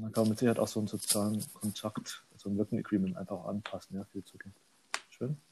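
Mumbling very fast, a man speaks at a fairly low pitch with ordinary pitch variation and long, frequent pauses. His tone is dark and mellow, and somewhat breathy. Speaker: agile coach. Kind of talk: casual chat. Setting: sitting on couch at home.

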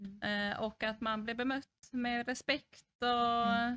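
A woman speaks at a fairly high pitch with a bright, sharp tone and flat, monotone intonation. The sound is dry and close, with no echo. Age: 30s. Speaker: social services unit manager. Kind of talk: interview.

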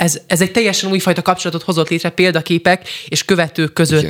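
A man with a high pitch rattles along at a very fast pace with hardly any pauses and fairly even intonation, in a dry, close sound with no echo. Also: very even loudness. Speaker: radio host. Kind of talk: radio interview.

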